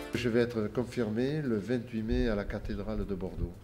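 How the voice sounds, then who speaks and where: A man with a fairly low pitch speaks at a fairly slow pace, with audible room echo and noticeable background noise. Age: 60s. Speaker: newly baptized adult convert. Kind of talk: interview testimony. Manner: halting, many hesitations and repetitions.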